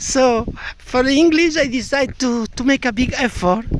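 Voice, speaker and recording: A man talks at a fairly slow pace in a strong Andalusian accent. Noticeable background noise is present. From Andalusia, Spain. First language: Spanish. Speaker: language learner sharing comments. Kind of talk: casual spoken monologue. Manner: halting, with many fillers and repetitions.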